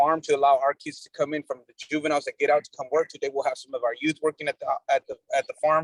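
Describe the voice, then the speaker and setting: A man at a very fast pace, dry and close with no echo. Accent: Spanish. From Mexico. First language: Spanish. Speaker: nonprofit executive director, outreach worker. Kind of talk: community meeting discussion. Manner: animated, repetitive with false starts.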